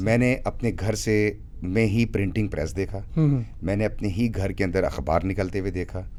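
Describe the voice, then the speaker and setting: Fairly low in pitch, a man speaks with a dark, mellow tone and ordinary pitch variation. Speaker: radio jockey and voice-over artist. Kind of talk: interview answer.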